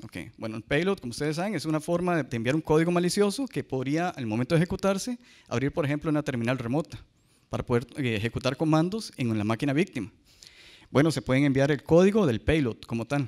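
Against a quiet background, a man with a fairly high pitch races along at a very fast pace with lively intonation. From Costa Rica. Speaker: cybersecurity analyst; conference speaker. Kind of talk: conference talk. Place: hall. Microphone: handheld.

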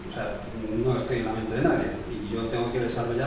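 Strong room echo and noticeable background noise fill the recording. A man speaks at a fairly quick pace. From Spain. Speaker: documentary maker, victims' advocate. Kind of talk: prepared speech. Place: meeting room.

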